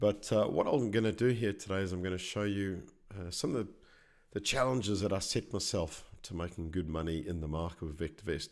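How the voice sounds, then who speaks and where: With an Australian accent and a very deep, low pitch, a man talks at a fairly quick pace on a very clean recording with a silent background. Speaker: stock market educator. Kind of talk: live presentation tutorial. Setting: live stream.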